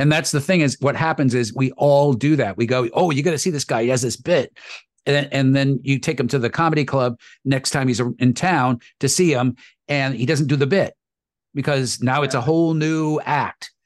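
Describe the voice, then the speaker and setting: In an unremarkable speaking voice, a man talks at a moderate pace with a fairly high pitch and fairly even intonation. His loudness stays very even over a quiet background. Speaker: voice actor.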